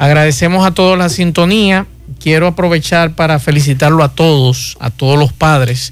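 A man with an ordinary speaking voice and a fairly high pitch speaks at a moderate pace, his pitch varying in an ordinary way. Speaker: radio host. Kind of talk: radio talk show.

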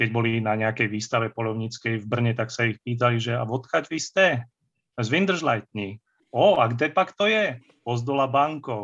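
A man's ordinary speaking voice at medium pitch, with ordinary pitch variation, at a moderate pace, against a quiet background. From central Slovakia, Banská Štiavnica area. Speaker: fantasy and historical novelist. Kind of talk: casual interview, nostalgic storytelling.

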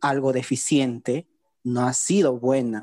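In a dry, close sound with no echo, a man speaks very slowly in a dark, mellow tone. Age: 20s. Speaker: blind physiotherapy student. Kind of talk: online panel discussion.

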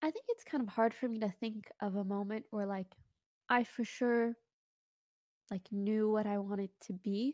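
Quiet and at a fairly high pitch, a woman talks at a moderate pace with fairly even intonation and long, frequent pauses, the sound dry and close with no echo. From Morocco. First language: not English. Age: 20s. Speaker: streamer. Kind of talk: casual chat.

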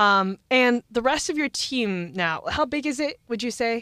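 A woman speaks at a fairly high pitch and a fairly slow pace, with lively intonation and a bright, sharp tone. The recording is very clean with a silent background and a dry, close sound with no echo. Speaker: student podcast host. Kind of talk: interview. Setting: studio.

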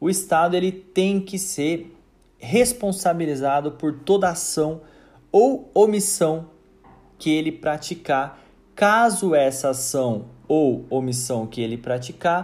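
Audible room echo surrounds a man who speaks at a very slow pace with a fairly high pitch and lively intonation. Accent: Brazilian. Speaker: university lecturer. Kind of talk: recorded lecture.

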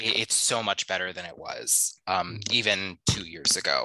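At a very slow pace, the voice comes across bright and sharp in a dry, close sound with no echo. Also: man. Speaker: podcast co-host. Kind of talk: casual interview.

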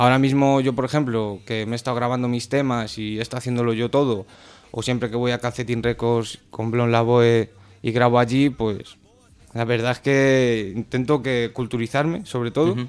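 This man speaks at a moderate pace and medium pitch, his intonation monotone and flat. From Spain. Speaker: rapper. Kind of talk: casual chat. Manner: halting, repeated words.

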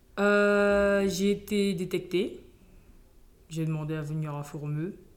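A woman speaks very slowly with ordinary pitch variation, and audible room echo surrounds her voice. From French Guiana. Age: 20s. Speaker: competitive swimmer. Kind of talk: interview. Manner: hesitant.

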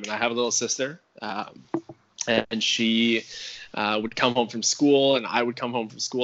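Noticeable background noise behind a man at medium pitch, intonation fairly even. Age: 20s. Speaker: chef. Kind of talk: casual interview. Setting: phone call.

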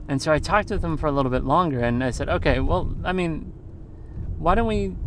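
Audible room echo surrounds a man's voice. He speaks with a fairly high pitch and lively intonation. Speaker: podcast host, English teacher in Japan. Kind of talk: casual monologue. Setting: in a car. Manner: halting, many fillers.

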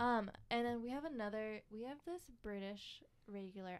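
A woman's normal speaking voice at medium pitch, with ordinary pitch variation and a fairly slow pace. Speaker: barista. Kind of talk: casual chat.

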